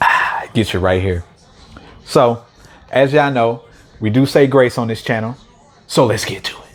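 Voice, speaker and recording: Over noticeable background noise, a man speaks with long, frequent pauses. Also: medium pitch for a man, ordinary pitch variation, moderate pace. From St. Louis, Missouri, US. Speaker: mukbang youtuber. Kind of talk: casual vlog talk to camera. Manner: relaxed, chatty with fillers.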